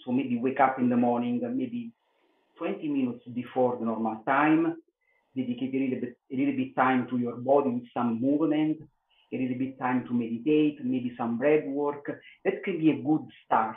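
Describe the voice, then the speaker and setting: Medium-pitched male speech at a moderate pace with fairly even intonation. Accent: Italian. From Italy. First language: Italian. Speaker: yoga teacher, former police detective. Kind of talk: podcast interview answer. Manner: hesitant, many filler sounds.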